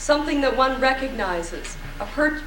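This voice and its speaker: There is music in the background and audible room echo. A woman with an American accent speaks at a fairly slow pace. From Cleveland, US. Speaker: lecturer. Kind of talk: lecture. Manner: halting.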